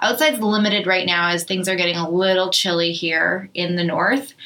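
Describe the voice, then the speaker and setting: A woman speaks at a medium pitch with a Canadian accent. Noticeable background noise runs under her voice. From Canada, Thunder Bay, Ontario. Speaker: podcast host, business owner. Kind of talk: casual chat. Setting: studio.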